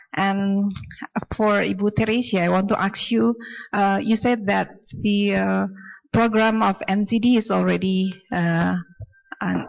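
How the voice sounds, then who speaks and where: A woman's medium-pitched voice with an Indonesian accent, fairly slow, with long and frequent pauses. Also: very even loudness. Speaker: audience member asking questions. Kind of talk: Q&A question at symposium. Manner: halting, many fillers.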